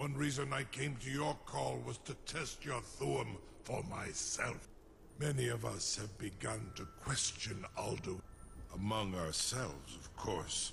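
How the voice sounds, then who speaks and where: Putting on a character voice, a man talks at a fairly slow pace and medium pitch over clear background noise. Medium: video game. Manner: slow, measured, imperious.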